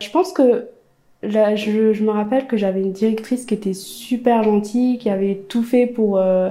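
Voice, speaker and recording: A woman's fairly high-pitched voice with a dark, mellow tone and fairly even intonation. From eastern France. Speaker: podcaster. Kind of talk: casual interview. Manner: hesitant.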